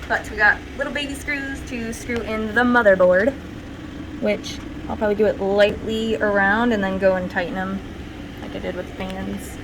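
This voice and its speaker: The speech is soft-spoken and mumbling, with big swings in loudness. Noticeable background noise and audible room echo fill the recording. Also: woman, fairly high pitch for a woman, ordinary pitch variation, moderate pace. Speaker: content creator. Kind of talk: tutorial.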